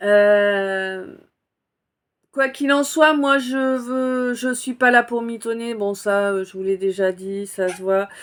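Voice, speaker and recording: In a very clean recording with a silent background, a woman speaks very slowly with lively intonation and long, frequent pauses. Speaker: spiritual oracle card reader. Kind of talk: casual self-introduction to viewers. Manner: volume varies; hesitant, many fillers.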